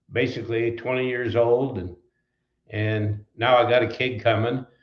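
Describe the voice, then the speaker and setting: Speaking in an Upper Midwest US accent, a man at medium pitch talks at a fairly slow pace in a monotone, flat intonation. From southwestern Wisconsin. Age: 80s+. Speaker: trucking company founder. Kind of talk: interview. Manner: halting, many fillers.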